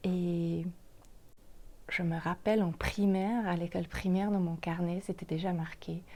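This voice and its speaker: Fairly slow and monotone, a woman with a Swiss German accent speaks in a fairly low, dark, mellow and somewhat breathy voice, recorded very cleanly with a silent background. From German-speaking Switzerland. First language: Swiss German (speaking French). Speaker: podcast host, makeup artist and life coach. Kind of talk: podcast monologue, self-introduction.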